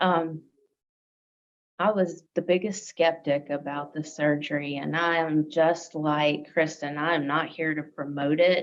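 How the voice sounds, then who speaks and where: Speaking with a Southern US accent, a woman with a very deep, low pitch talks at a fairly slow pace in a monotone, flat intonation. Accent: Southern drawl. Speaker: interview guest, healthcare worker. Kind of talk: interview.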